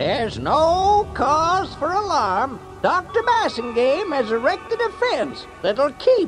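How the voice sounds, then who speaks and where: Clear music in the background behind a put-on character voice, fairly slow in pace. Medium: read story. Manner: showy, hucksterish.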